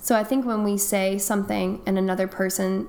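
Using a normal speaking voice, a woman with an American accent talks at a medium pitch with fairly even intonation. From North Carolina. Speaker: English teacher. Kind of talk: casual chat.

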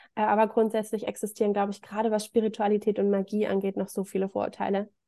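At a very fast pace, a woman speaks with a dark, mellow tone at medium pitch and with monotone, flat intonation. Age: 30s. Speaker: spiritual practitioner, self-described witch. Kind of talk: interview.

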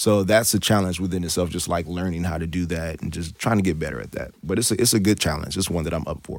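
Speaking with an American accent, a man with a very deep, low pitch races along at a very fast pace with hardly any pauses and ordinary pitch variation, on a very clean recording with a silent background. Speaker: soul singer. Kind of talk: interview. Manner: laid-back.

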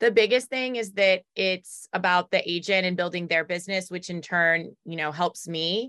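In a bright, sharp tone with an American accent, the speaker talks with ordinary pitch variation and hardly any pauses in a dry, close sound with no echo. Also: woman, medium pitch for a woman, moderate pace. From US South, Raleigh, North Carolina. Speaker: title company business owner. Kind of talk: interview.

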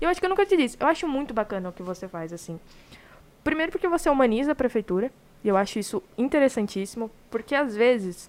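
Over noticeable background noise, a woman talks at a very fast pace in an animated tone, her high pitch making very wide swings and her loudness rising and falling a lot. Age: 20s. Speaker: podcast host. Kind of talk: live podcast interview.

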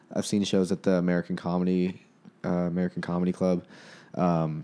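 A man speaks with a dark, mellow tone at a very deep, low pitch. His pace is fairly quick. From Winnipeg, Manitoba, Canada. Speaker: stand-up comedian.

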